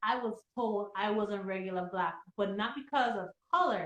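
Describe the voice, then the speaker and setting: A woman talks with a strong Virgin Islands accent. Her tone is animated. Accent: Virgin Islands Caribbean, strong. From US Virgin Islands, St. Thomas. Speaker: podcast panelist. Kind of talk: casual chat.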